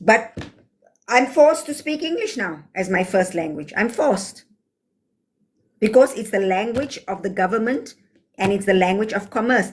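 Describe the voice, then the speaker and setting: With lively intonation and an animated tone, a woman speaks in a fairly high, somewhat breathy voice, leaving long, frequent pauses. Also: moderate pace. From South Africa. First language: Afrikaans. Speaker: livestreamer. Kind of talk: livestream chat answering comments.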